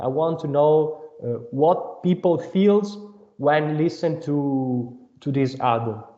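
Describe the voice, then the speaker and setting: The delivery is very slow, with lively intonation. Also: man, fairly high pitch for a man. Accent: non-native. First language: not English. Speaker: band member, singer/songwriter. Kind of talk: interview. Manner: halting.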